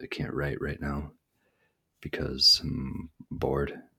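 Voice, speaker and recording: A man speaks quietly at a very slow pace. His very deep, low voice stays monotone and flat. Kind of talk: casual monologue. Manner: quiet, low-energy.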